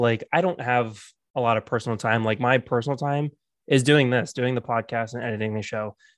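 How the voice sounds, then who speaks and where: A man with an American accent and a plain, everyday voice speaks at medium pitch and a moderate pace with fairly even intonation. The sound is dry and close with no echo, over a quiet background. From South Florida. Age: 30s. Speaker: podcast host. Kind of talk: casual chat.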